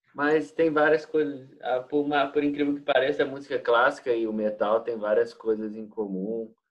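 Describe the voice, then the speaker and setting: With a Minas Gerais accent, a man talks at a moderate pace in a fairly high pitch, his pitch varying in an ordinary way. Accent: Brazilian Portuguese, Minas Gerais. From Brazil, Minas Gerais. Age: 20s. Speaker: exchange student and English teacher. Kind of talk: interview. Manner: halting, frequent repetitions.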